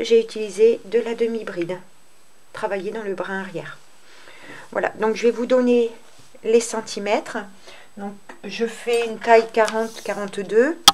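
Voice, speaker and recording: Pausing long and often, a woman speaks at a fairly high pitch with fairly even intonation and big swings in loudness. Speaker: crochet tutorial creator. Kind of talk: tutorial. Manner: hesitant, many fillers.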